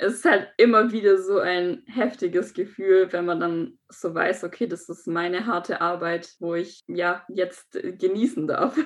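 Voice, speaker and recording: Using an ordinary speaking voice, a woman shows ordinary pitch variation. She keeps a fairly slow pace. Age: 20s. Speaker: aspiring model and business informatics graduate. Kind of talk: interview.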